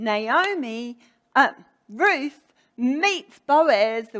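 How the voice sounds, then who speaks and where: A woman speaks with a New Zealand accent. Her bright, sharp voice swings very widely in pitch. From New Zealand, Hamilton (Waikato). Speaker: preacher. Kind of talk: sermon.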